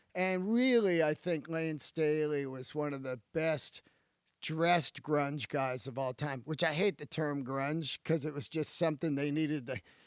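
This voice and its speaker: A man with an unremarkable speaking voice, fairly high in pitch with ordinary pitch variation, speaks at a fairly slow pace in a dry, close sound with no echo. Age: 50s. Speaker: stand-up comedian. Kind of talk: casual chat. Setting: podcast studio.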